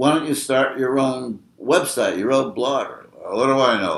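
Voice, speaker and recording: Using vocal fry, a man speaks at a medium pitch and a moderate pace. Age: 80s+. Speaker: blogger. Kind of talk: casual chat. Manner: halting.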